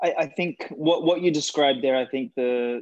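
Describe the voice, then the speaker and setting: Australian-accented speech from a man, fairly quick in pace. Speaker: podcast host. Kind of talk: podcast interview.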